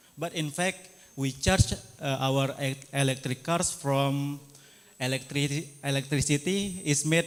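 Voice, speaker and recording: Someone with an Indonesian accent speaks at a very slow pace. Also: man. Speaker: audience member asking question. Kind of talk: audience question. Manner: halting.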